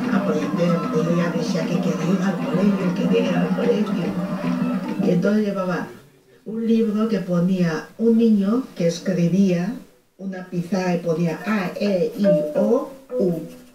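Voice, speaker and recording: Over noticeable background noise, a woman with a medium pitch talks at a very slow pace, her pitch varying in an ordinary way. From Equatorial Guinea. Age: old. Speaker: storyteller recalling childhood. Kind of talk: interview answer.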